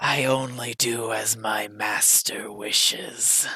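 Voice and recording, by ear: Using a put-on character voice, a man speaks very slowly at a medium pitch in a flat, monotone delivery.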